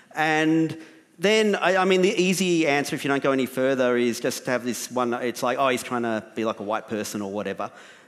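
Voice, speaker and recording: Someone with an Australian accent talks at a fairly quick pace against a quiet background. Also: man. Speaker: writer and documentary maker; panelist. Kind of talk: panel discussion. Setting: stage with audience. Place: stage. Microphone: headset.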